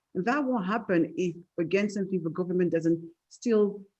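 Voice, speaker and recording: In a French accent, a dark, mellow tone comes at a very fast pace with ordinary pitch variation. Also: woman. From France. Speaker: tech entrepreneur. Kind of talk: panel discussion. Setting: webinar video call.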